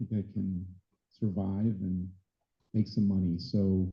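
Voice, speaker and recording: A somewhat breathy voice with an American accent. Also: man. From US Midwest, Chicago area. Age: 60s. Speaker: dive travel business owner and flight attendant. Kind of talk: club meeting presentation. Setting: meeting room with audience. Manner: casual, conversational.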